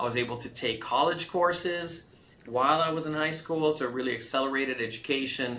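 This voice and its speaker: Lively intonation carries this voice in a Californian accent. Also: man. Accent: Californian American English. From US West Coast, Los Angeles (came from Romania at nine). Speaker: tech startup CEO. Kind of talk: interview.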